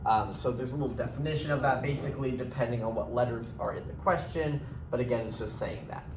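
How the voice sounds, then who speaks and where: Amid noticeable background noise and audible room echo, a man talks very fast at medium pitch with ordinary pitch variation. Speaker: high school math teacher. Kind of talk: lecture. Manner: casual, filler-heavy.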